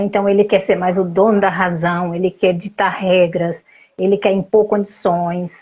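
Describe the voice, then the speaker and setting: A woman at a fairly slow pace, somewhat breathy. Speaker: family therapist. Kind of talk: interview.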